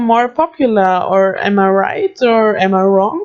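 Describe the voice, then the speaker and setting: A woman speaks with an Austrian accent. Her pace is very slow. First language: German. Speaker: gaming youtuber. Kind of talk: casual chat. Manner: halting.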